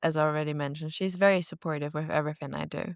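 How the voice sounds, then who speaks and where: A woman with a non-native accent speaks at a very deep, low pitch. The recording is very clean, with a silent background and a dry, close sound with no echo. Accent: non-native English, now fluent. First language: not English. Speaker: former content creator. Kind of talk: casual interview chat.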